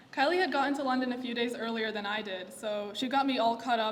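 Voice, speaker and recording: A woman speaks very fast at a fairly high pitch with ordinary pitch variation. Audible room echo and noticeable background noise surround her. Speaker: eulogist, friend of the deceased. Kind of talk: eulogy. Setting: memorial gathering.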